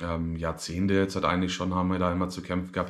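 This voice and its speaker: Flat, monotone delivery from a man with a very deep, low pitch. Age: 30s. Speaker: vlogger. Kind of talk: personal video diary. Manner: hesitant, many filler sounds.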